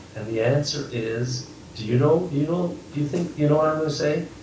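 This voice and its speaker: Noticeable background noise around a man at a moderate pace, his pitch varying in an ordinary way. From Bavaria, Germany. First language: German, bilingual from childhood. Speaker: grandfather. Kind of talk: interview answer. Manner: warm, conversational.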